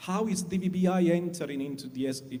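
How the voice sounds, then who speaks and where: A man with an Italian accent at a moderate pace, with audible room echo. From Italy. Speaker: satellite industry executive. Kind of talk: panel discussion. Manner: halting, many fillers.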